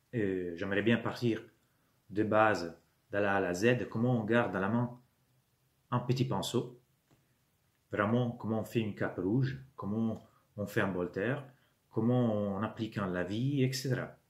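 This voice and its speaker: Pitched fairly low, a man with an Italian accent speaks at a fairly slow pace with ordinary pitch variation and long, frequent pauses. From Italy. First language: Italian (speaking French). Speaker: YouTuber, miniature wargaming hobbyist. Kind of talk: channel introduction monologue. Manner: hesitant, many fillers.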